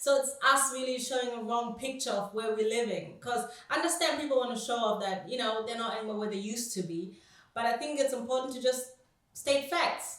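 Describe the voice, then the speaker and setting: A high-pitched woman speaks at a fairly quick pace with ordinary pitch variation, amid noticeable background noise and audible room echo. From Germany. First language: German. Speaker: anti-racism activist. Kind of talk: interview. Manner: halting.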